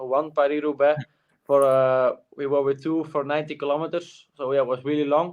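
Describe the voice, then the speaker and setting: A man speaks at a fairly high pitch. His intonation is monotone and flat. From Flanders, Belgium. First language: Dutch. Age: young. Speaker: cyclist. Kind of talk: interview. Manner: halting, many fillers.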